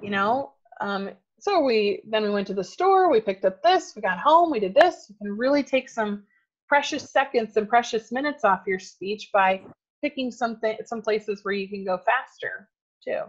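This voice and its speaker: A woman speaks with a plain, everyday voice at a moderate pace. Her pitch is fairly high and her intonation lively. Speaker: speaking coach. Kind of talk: workshop class.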